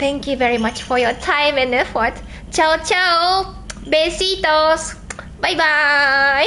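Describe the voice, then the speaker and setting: In a Japanese accent, the speaker uses a raised, projected voice at a very slow pace, with ordinary pitch variation and very even loudness. Noticeable background noise runs underneath. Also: woman, high pitch for a woman. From southern Japan. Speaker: livestreamer. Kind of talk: livestream chat.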